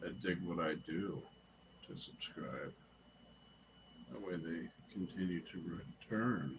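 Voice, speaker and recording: The voice carries vocal fry and ordinary pitch variation. It moves at a very slow pace with long, frequent pauses. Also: man, very deep, low pitch for a man. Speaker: live streamer. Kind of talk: casual chat. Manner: laid-back.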